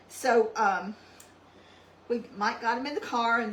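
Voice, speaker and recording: A woman with an East Texas accent talks at a fairly high pitch and fairly slow pace, her intonation fairly even, over noticeable background noise. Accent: East Texas Southern US. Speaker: cooking channel host. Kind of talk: cooking tutorial. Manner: soft-spoken; hesitant with many ums.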